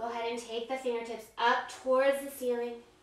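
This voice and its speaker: A woman uses a raised, projected voice with a bright, sharp tone. She keeps a moderate pace. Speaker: yoga instructor. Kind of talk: guided yoga class instruction.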